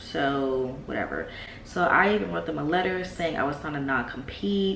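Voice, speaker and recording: The voice moves at a moderate pace, with noticeable background noise and audible room echo. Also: woman. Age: 20s. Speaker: vlogger and business owner. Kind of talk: casual vlog talk.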